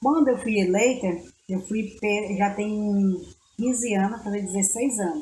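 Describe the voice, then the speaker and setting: In a room with audible echo, a woman speaks fairly slowly with ordinary pitch variation. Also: medium pitch for a woman. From Brazil, far south of Bahia (Prado region). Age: 50s. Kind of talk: interview.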